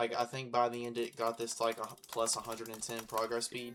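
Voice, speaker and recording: Over noticeable background noise, a man talks at a moderate pace in a medium-pitched, monotone voice with flat intonation. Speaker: gaming youtuber. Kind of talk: gameplay commentary. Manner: casual, filler-heavy.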